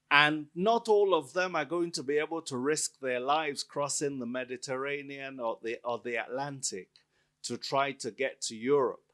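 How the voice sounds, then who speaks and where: Bright and sharp in tone, a man speaks at a moderate pace with a fairly high pitch and ordinary variation. The recording is very clean, with a silent background. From Nigeria. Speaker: author and academic. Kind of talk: book event Q&A. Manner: loud.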